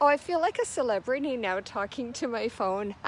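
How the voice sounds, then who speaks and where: Shouting loudly at a moderate pace, a woman with a Canadian prairies accent makes very wide pitch swings. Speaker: yoga instructor. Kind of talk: live-streamed yoga class. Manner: loud, shouting over wind.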